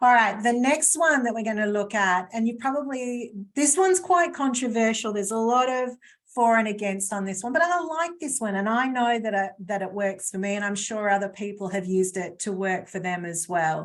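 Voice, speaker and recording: A woman speaks in an unremarkable speaking voice at a fairly high pitch. Her pace is fairly quick and her intonation lively. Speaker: webinar presenter on stress management. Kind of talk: webinar presentation. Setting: live webinar video call.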